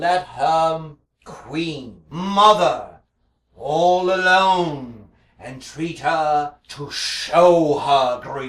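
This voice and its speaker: A man's put-on character voice, fairly high-pitched with ordinary pitch variation, at a very slow pace with a slight echo. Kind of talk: Shakespearean stage verse. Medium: stage play. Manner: hesitant, halting.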